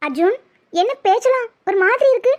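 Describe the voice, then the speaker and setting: In a cartoonish character voice, a woman speaks at an extremely high pitch. Her intonation is lively and her pace moderate. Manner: sulky, pouty.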